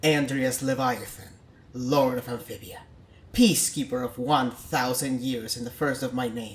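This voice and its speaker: In a put-on character voice, a man speaks at a moderate pace and medium pitch. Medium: read story.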